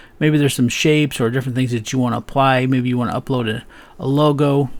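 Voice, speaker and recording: A man's medium-pitched, monotone, flat delivery at a fairly quick pace, on a very clean recording with a silent background. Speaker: web designer and software reviewer. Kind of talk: tutorial. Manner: fast; casual, with many fillers.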